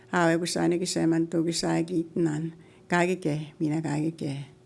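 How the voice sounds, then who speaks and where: A woman's fairly low voice at a fairly quick pace, on a very clean recording with a silent background. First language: Cree. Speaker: elder. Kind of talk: opening prayer.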